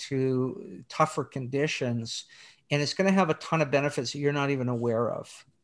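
A man speaks in a plain, everyday voice, fairly high in pitch with ordinary pitch variation. The recording is very clean, with a silent background. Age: 60s. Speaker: theology professor and author. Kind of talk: interview about his book.

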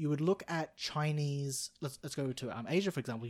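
In a very clean recording with a silent background, a man talks at a medium pitch in an Australian accent. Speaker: podcast guest. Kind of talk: casual chat.

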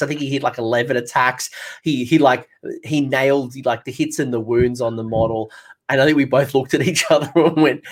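In an Australian accent, a man talks at a fairly high pitch. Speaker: podcast host. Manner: casual, enthusiastic.

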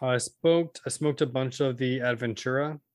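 A man with an American accent and an unremarkable speaking voice, medium pitch, a fairly quick pace, and a very clean recording with a silent background. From Central Valley, California. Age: 20s. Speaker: podcast co-host. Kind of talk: casual chat.

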